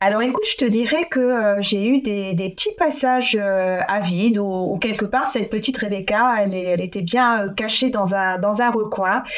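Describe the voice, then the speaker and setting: With hardly any pauses, a woman speaks at a fairly high pitch and ordinary pitch variation. Background noise is noticeable. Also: moderate pace. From France. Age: 40s. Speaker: former naval officer and local politician. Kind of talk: interview. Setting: at home. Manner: halting, many repetitions.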